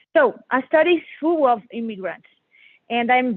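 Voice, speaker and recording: A fairly high-pitched woman with a Portuguese accent and lively intonation. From Brazil. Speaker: member of the public testifying. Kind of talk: public hearing testimony. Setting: phone dial-in to virtual hearing. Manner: halting.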